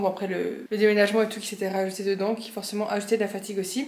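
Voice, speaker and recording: A woman's fairly high voice in a flat monotone. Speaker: fitness youtuber, bodybuilding competitor. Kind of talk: casual vlog talk. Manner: fast; hesitant, many fillers.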